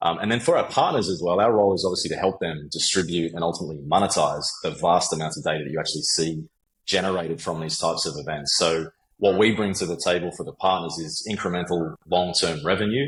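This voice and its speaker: A man with an Australian accent, very deep and low in pitch, very fast, with ordinary pitch variation. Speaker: sales executive. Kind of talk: interview. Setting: podcast.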